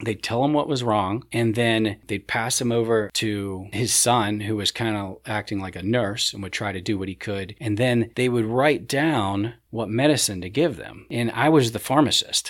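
With a normal speaking voice and an American accent, a man talks at a moderate pace and medium pitch, with hardly any pauses. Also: ordinary pitch variation. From Ohio, US Midwest. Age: 40s. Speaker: realtor and senior care worker. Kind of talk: casual chat.

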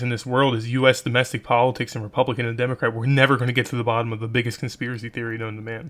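This man talks very fast. His pitch sits in the medium range. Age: 20s. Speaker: podcast host. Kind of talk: solo monologue podcast. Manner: halting, many fillers.

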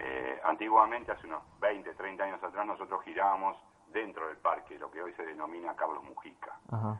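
Over noticeable background noise, a man with a fairly low pitch talks at a fairly quick pace, with ordinary pitch variation and big swings in loudness. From Buenos Aires, Argentina. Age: 60s. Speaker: amateur cyclist, member of a cycling association. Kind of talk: interview. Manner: halting, with many repetitions.

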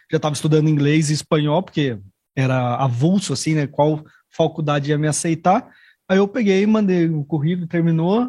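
A man with a fairly high, dark, mellow voice, fairly quick, with ordinary pitch variation. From São Paulo, Brazil. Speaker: guest who lived abroad. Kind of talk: casual chat. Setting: studio.

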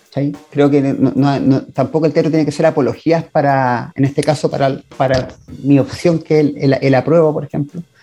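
A man speaks at a moderate pace in a fairly high pitch with a flat, monotone delivery, backed by music. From Chile. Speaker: theatre director. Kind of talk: interview. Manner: halting.

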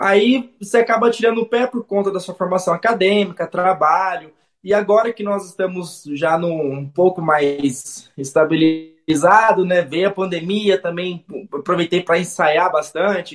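A man speaks at a high pitch with ordinary pitch variation. Music plays in the background. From Brazil, Jundiaí. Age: 30s. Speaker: saxophonist. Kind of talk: radio interview.

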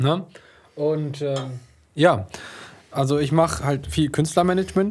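Speaking at a fairly slow pace with long, frequent pauses, a man with a fairly high voice sounds somewhat breathy and uses ordinary pitch variation. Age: 20s. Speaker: music label manager. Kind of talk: casual chat. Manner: animated.

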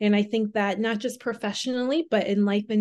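A woman with an American accent speaks at a fairly high pitch in a dark, mellow tone. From Southwest Minnesota, small town. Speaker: personal trainer. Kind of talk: casual interview.

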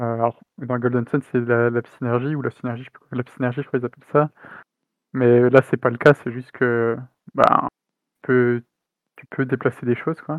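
A man's medium-pitched monotone at a moderate pace, with long, frequent pauses and big swings in loudness. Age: 30s. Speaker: indie game developer. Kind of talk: interview. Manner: halting.

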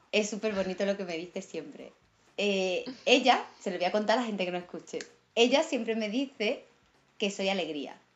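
Moderate pace and ordinary pitch variation from a woman at a medium pitch. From Andalusia. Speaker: actress. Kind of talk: casual chat. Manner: animated.

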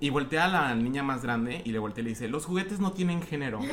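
Through audible room echo and noticeable background noise, a man with a fairly high pitch speaks at a very fast pace with lively intonation. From Mexico, Guadalajara. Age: 20s. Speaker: podcast guest. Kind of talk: casual chat.

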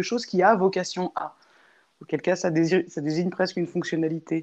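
The woman speaks at a moderate pace. Behind her, things stay quiet. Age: 30s. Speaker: interviewee, sociologist. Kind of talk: interview. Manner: halting.

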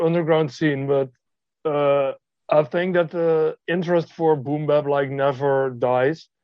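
At a fairly slow pace, a man with a Dutch accent speaks at a fairly high pitch, his intonation fairly even. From Netherlands. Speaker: music producer. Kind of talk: interview. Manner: hesitant with frequent fillers.

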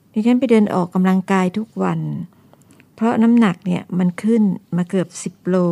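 A woman's voice, dark and mellow in tone, moves with fairly even intonation. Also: medium pitch for a woman, dry, close sound with no echo. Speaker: retired school director. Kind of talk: radio interview.

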